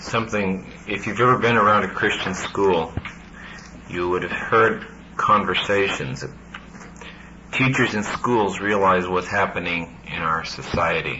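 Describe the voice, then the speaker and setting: Amid noticeable background noise and audible room echo, a man speaks at a fairly slow pace with long, frequent pauses, his pitch fairly low and its variation ordinary. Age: 40s. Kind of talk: panel discussion.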